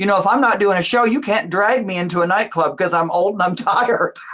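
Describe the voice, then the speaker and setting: A fairly quick delivery in an ordinary speaking voice, its pitch varying in an ordinary way. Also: woman. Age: 60s. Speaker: drag performer. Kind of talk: casual chat.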